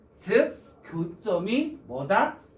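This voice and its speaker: A man speaks at a high pitch. There is audible room echo. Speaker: math teacher. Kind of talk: lecture.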